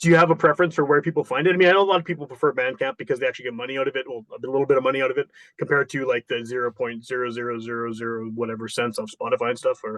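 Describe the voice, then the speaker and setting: With a Canadian accent, a man rattles along at a very fast pace with hardly any pauses, at medium pitch with ordinary pitch variation. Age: 40s. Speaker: podcast host. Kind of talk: interview.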